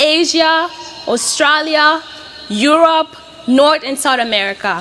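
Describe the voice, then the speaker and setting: A raised, projected voice speaks at a fairly slow pace with lively intonation. Noticeable background noise runs underneath. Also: woman. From Mozambique, Beira. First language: Portuguese. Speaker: graduating student. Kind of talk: commencement speech.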